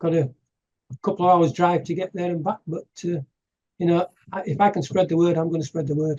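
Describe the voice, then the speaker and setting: Pausing long and often, a high-pitched man with an English accent keeps a fairly even intonation. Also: fairly quick pace. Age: 60s. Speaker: activist giving presentations. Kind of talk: casual interview chat. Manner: halting.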